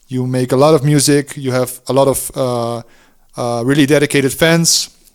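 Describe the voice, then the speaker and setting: Monotone, flat delivery at a moderate pace with a Dutch accent. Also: man, medium pitch for a man. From Netherlands. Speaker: DJ and music producer. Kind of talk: interview. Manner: halting.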